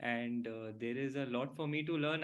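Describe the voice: Audible room echo surrounds a man who talks at a fairly slow pace, with a medium pitch and fairly even intonation.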